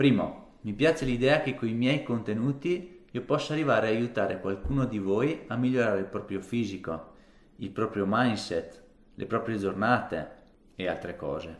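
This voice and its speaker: A man with an ordinary speaking voice talks at a moderate pace. His pitch is medium and his intonation lively. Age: 30s. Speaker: fitness vlogger. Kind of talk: casual vlog monologue to camera. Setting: alone talking to camera.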